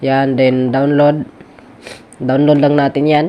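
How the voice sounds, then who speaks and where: A man's fairly high-pitched voice at a fairly slow pace, with noticeable background noise. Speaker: vlogger. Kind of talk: tutorial. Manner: casual, filler-heavy.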